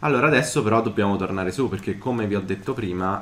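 Here a man talks at a very fast pace. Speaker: gaming YouTuber. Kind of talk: let's play commentary.

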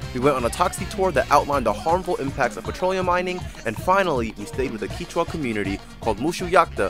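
Over music in the background, a man talks at a very fast pace with very wide pitch swings in a dry sound with no echo. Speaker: vlog narrator. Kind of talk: vlog narration.

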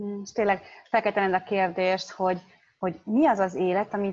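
Over a quiet background, a woman with a dark, mellow tone speaks at a fairly slow pace. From Hungary. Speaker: interpreter. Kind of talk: consecutive interpreting. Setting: video call. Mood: reflective, personal. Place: home room. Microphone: video call.

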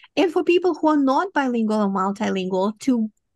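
A woman with a Romanian accent, somewhat breathy, dry with no echo, against a quiet background. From Moldova. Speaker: professor and cognitive scientist; professor. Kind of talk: interview. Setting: remote video call. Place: home room. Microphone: studio mic.

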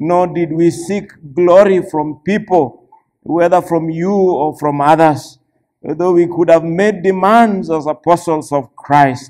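High-pitched man speaking at a very slow pace with fairly even intonation against a quiet background. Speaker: church elder preaching. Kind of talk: sermon scripture reading. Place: church.

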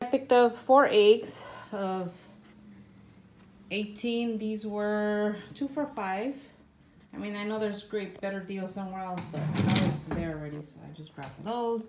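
A woman speaks at a fairly slow pace with ordinary pitch variation, leaving long, frequent pauses over loud background noise. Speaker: home vlogger. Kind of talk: casual grocery haul vlog. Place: home room. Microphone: phone near.

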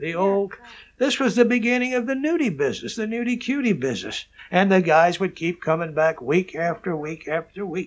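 Delivery is at a fairly quick pace. The voice moves through very wide pitch swings. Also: man, high pitch for a man. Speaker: exploitation film producer; interviewee. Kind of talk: interview storytelling. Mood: amused, reminiscing.

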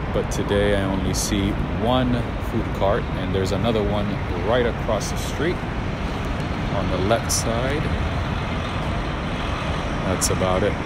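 A man talks at a fairly slow pace with long, frequent pauses. The sound is dry with no echo, under loud background noise. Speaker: city walk vlogger. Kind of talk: casual vlog commentary. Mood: calm, observant. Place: street. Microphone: phone near.

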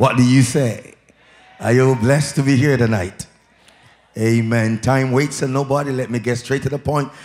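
Music runs behind the speech. The speaker is a man whose pitch varies in an ordinary way. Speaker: evangelist preacher. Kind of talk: sermon. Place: church. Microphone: handheld.

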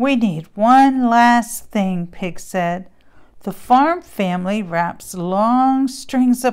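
The speaker uses a natural reading voice.

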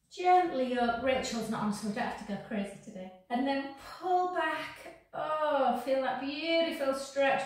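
Amid strong room echo, a woman speaks at a fairly slow pace in a high pitch. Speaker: fitness instructor. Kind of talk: exercise class instruction. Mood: cheerful, chatty. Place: gym. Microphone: camera far.

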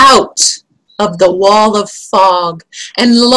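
An unforced reading voice, ordinary pitch variation, and a quiet background

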